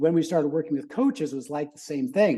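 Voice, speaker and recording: Speaking with a Californian accent, a man has a fairly high pitch and a dark, mellow tone. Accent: General American, Californian. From US West Coast, San Francisco Bay Area. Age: 60s. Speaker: business consultant, former gymnast. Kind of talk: podcast interview. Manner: animated.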